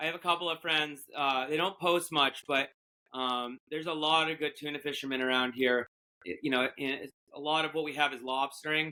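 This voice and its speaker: A man talks at a fairly quick pace with a New England accent. His fairly high-pitched voice keeps its intonation fairly even. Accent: New England American. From Massachusetts. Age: 40s. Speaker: fishing boat captain. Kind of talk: casual chat. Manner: halting, many fillers.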